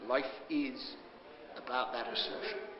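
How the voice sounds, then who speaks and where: A man's voice at a moderate pace, with noticeable background noise. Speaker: comedian and television presenter. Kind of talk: interview answer. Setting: bookshop. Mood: reflective, earnest about poem. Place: hall.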